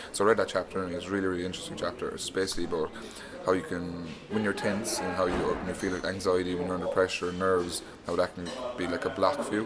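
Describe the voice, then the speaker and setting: Music plays in the background as a man speaks very fast with an Irish accent. His pitch is very deep and low, and his intonation stays fairly even. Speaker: professional rugby player. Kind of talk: interview. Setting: university, over tea.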